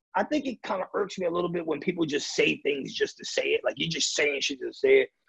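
Fast and lively in intonation, a man speaks at fairly high pitch with a fairly bright tone that is gravelly, raspy and husky with a rough edge, plus vocal fry.

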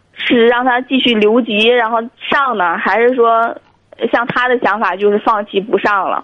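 Delivered at a fairly slow pace, a plain, everyday voice carries ordinary pitch variation. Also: woman. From Tianjin. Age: 30s. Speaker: caller. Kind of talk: phone-in call. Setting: phone call.

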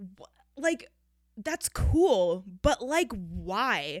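Her fairly high voice swings very widely in pitch, with vocal fry and long, frequent pauses. The recording is very clean, with a silent background and a dry, close sound without echo. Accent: American. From Wisconsin. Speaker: podcast host. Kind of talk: casual monologue. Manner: animated.

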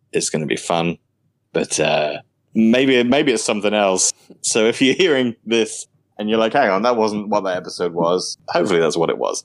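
In a British accent, the voice comes through dry and close, with no echo. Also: man, fairly low pitch for a man, lively intonation, moderate pace. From United Kingdom. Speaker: podcast host. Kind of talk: casual chat.

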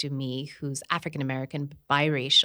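This woman's voice sits at a very deep, low pitch. Its tone is bright and sharp. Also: very clean recording, silent background. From Kenya, partly raised abroad including India. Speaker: podcast co-host and media worker. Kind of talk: casual chat.

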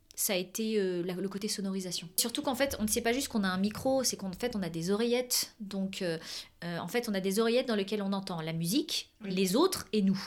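At a fairly quick pace, a woman talks in a medium-pitched voice with ordinary pitch variation. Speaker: opera singer and business owner. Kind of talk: interview. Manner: animated.

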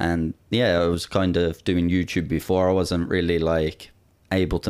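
In a very clean recording with a silent background, a man speaks with an Irish accent. His voice is very deep and low. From Ireland. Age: young. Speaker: YouTuber. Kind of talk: casual chat.

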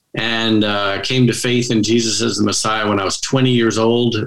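A man's fairly low, fairly bright voice with little pitch movement at a moderate pace, with audible room echo.

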